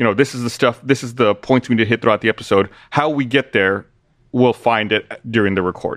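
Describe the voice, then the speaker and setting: Over a quiet background, a man with a medium pitch talks at a very fast pace with fairly even intonation, the sound dry and close with no echo. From small town. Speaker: podcaster. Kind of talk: casual chat.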